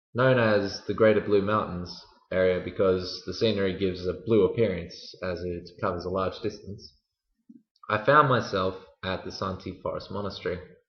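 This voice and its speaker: At a moderate pace, a man talks in a very deep, low voice with fairly even intonation. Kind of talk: storytelling for language learners.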